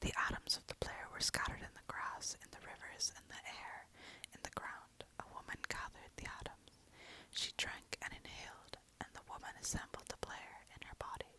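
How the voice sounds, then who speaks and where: Someone is whispering. The pace stays moderate. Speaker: ASMR artist. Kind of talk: poetry reading. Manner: whispered.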